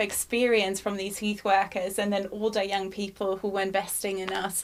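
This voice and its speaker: A woman with a German accent speaks at a fairly quick pace. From Germany, small village. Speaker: youth charity leader. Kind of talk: testimony.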